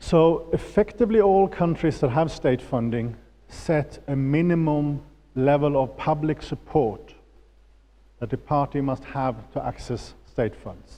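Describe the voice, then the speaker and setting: A man with a Swedish accent speaks fairly slowly at a fairly high pitch, in a dark, mellow tone with ordinary pitch variation. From Sweden. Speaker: political finance expert. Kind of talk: lecture. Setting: auditorium with audience.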